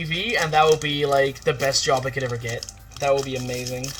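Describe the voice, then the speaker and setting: An animated man with a Dutch accent. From Netherlands. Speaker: streamer. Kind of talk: casual chat. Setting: livestream.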